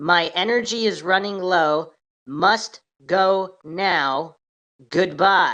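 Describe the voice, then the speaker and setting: A woman's put-on robotic character voice, medium in pitch and very slow in pace. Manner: very slow, halting, robotic.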